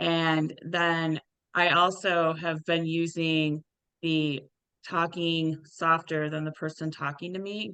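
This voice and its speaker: A woman speaks loudly at a very slow pace, her pitch fairly low and her intonation monotone and flat. Her tone is bright and sharp against a quiet background. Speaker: tennis official and webinar moderator. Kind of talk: Q&A moderation.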